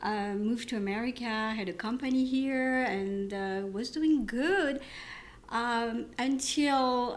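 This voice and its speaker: A woman with a French accent speaks fairly slowly in a fairly high voice with ordinary pitch variation. Audible echo fills the room. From France. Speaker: physician. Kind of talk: podcast interview. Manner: halting.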